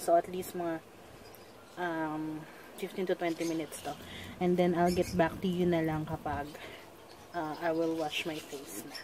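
A woman speaks at a fairly low pitch with a dark, mellow tone and monotone, flat intonation. Her pace is fairly slow with long, frequent pauses, and there is noticeable background noise. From Philippines. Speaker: beauty vlogger. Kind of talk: product tutorial vlog. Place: home room. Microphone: phone near.

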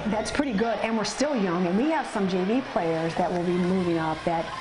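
Music plays in the background. The speech moves at a fairly quick pace. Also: woman. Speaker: assistant basketball coach. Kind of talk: interview answer. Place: kitchen.

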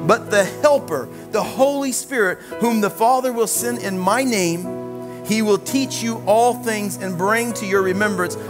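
A man at a fairly slow pace over clear music in the background. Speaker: preacher. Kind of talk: sermon. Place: church.

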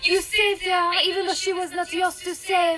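At a moderate pace, a breathy put-on character voice plays over faint background music. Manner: fearful.

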